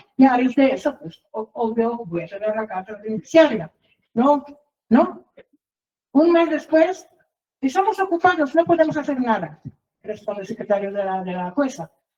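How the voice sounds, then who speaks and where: With a dark, mellow tone and a high pitch, a woman speaks with very wide pitch swings, big swings in loudness, and long, frequent pauses. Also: moderate pace. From outside Mexico, foreign. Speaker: reporter and litigant telling her case. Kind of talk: testimony. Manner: halting, many fillers and repetitions.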